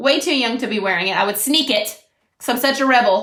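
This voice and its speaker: Loud and animated, a woman speaks in an American accent with ordinary pitch variation. Audible room echo surrounds her voice. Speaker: makeup brand consultant. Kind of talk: casual livestream makeup tutorial.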